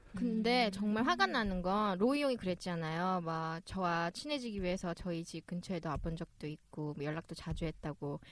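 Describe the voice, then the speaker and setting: A woman with a plain, everyday voice, medium in pitch, lively in intonation, at a moderate pace with hardly any pauses. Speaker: podcast host. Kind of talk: casual chat.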